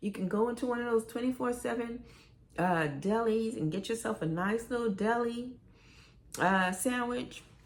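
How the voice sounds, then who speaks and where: A woman speaks in a New York accent with an animated tone. Her fairly high pitch shows ordinary variation. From New York, Brooklyn. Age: 60s. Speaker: YouTuber. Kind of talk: casual chat.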